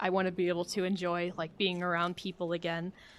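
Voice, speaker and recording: Against a quiet background, a woman speaks with a fairly low pitch. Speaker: streamer. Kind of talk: casual livestream chat. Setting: livestream. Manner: monotone.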